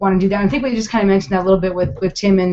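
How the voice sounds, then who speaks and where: This is a woman speaking. She has a Minnesotan accent. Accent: Minnesota. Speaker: interviewer, charity project creator. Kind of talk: interview over video call. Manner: hesitant, many fillers.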